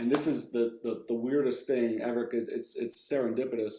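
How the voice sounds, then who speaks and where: A man speaks at a moderate pace with an American accent. His medium-pitched voice has a dark, mellow tone and ordinary pitch variation. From New Jersey. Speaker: video game writer. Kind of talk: interview. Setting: video call. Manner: casual, many fillers.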